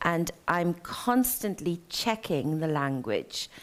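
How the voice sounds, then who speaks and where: In a very clean recording with a silent background, a woman speaks at a fairly low pitch. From South London, Trinidadian parents. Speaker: novelist. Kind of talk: interview at a live literary event. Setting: theatre stage with audience.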